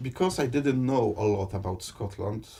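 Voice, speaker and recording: A man's somewhat breathy voice, dark and mellow in tone, with ordinary pitch variation and a moderate pace. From Poland. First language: Polish. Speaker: interviewee, Polish immigrant and political candidate. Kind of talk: interview. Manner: halting, with repetitions.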